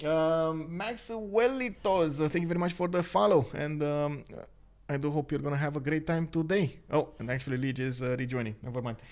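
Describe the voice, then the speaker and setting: A man talks at a moderate pace with a non-native accent and ordinary pitch variation. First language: not English. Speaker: game caster and streamer. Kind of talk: live game commentary stream. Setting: live stream. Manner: hesitant, many filler words.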